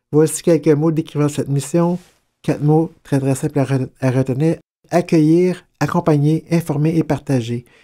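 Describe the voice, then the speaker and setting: A man speaks at a fairly slow pace in a dark, mellow tone, with a fairly high pitch. His intonation is fairly even, his loudness very even, and the background quiet. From Quebec. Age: 50s. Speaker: mental health testimony guest; guest. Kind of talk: testimony; interview answer. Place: home room.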